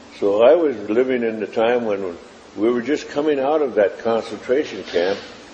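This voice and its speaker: Noticeable background noise sits behind a man speaking. His pitch is medium and his pace moderate. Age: 70s. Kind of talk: interview testimony. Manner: halting, with frequent fillers.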